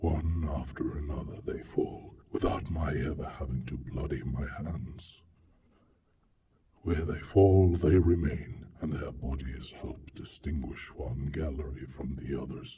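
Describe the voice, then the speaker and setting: A man puts on a character voice. He speaks at a fairly slow pace in a very deep, low pitch. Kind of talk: dramatic reading. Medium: read story. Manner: solemn, musing.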